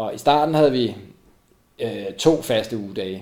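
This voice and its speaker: Audible room echo surrounds a man as he speaks. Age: 40s. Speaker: co-founder of a running community. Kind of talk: interview. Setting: at home. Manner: halting, many fillers and repetitions.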